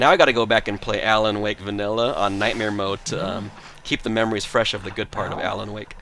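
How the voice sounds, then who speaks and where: Loud and animated, a man speaks very fast at a fairly low pitch over noticeable background noise. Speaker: video game streamer. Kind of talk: live gameplay stream chat. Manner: casual, animated.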